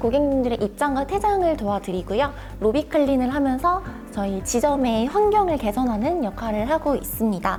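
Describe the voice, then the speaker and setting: A woman speaks at a moderate pace and high pitch with very wide pitch swings as music plays in the background. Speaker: cinema operations analyst, former cinema part-time staff. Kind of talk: interview answer.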